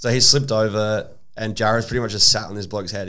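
Speaking at a very fast pace, a man has an Australian accent and a fairly low pitch. Audible room echo is present. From South Australia (Adelaide). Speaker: DJ and social media content creator. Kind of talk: casual chat.

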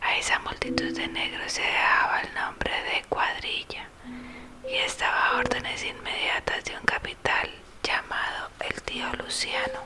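A fairly slow whisper over noticeable background noise. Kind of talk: audiobook reading aloud of a 19th-century novel. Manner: soft, hushed whisper-style narration; steady, measured, formal literary delivery.

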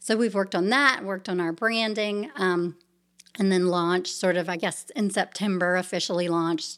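A woman speaks in a plain, everyday voice at a moderate pace, her medium pitch rising and falling with ordinary variation. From US South, Savannah, Georgia. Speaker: nonprofit founder and children's author. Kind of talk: interview conversation.

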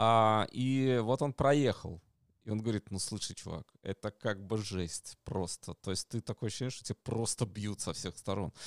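In a very clean recording with a silent background and a dry, close sound with no echo, a man with a normal speaking voice and ordinary pitch variation talks at a moderate pace. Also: fairly low pitch for a man. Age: 40s. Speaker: stream co-host. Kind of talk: casual chat.

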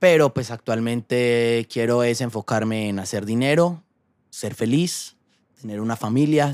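The recording is very clean, with a silent background. A man speaks in an unremarkable speaking voice at a medium pitch and moderate pace, with ordinary pitch variation. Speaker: YouTuber and actor. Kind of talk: casual interview.

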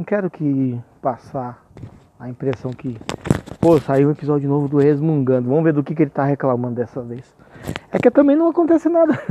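A man talks very fast, his pitch sitting fairly high. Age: 40s. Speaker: podcaster and rapper. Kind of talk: casual monologue. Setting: outdoors, walking on the street at night. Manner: laughing often.

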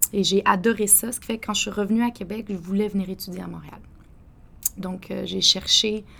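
A woman at a fairly quick pace, with big swings in loudness and noticeable background noise. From Quebec City, Quebec. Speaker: coffee entrepreneur. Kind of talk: interview.

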